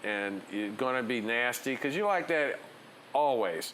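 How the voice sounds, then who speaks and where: A man at medium pitch and a fairly slow pace, ordinary pitch variation, audible room echo. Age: 60s. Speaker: DJ. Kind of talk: interview. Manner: animated.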